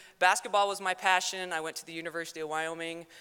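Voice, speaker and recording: A loud woman with an American accent, fairly low pitch and fairly even intonation. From South Dakota. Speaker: former athlete, teacher and coach. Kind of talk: award acceptance speech. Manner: fast.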